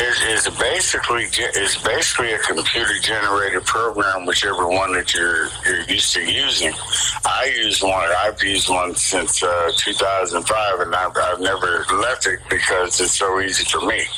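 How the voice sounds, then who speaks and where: A moderate pace with hardly any pauses and very even loudness, over noticeable background noise. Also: man. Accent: American. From Cleveland, Ohio (East Side), US Midwest. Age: 60s. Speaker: graphic artist. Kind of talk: radio interview. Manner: halting, many restarts.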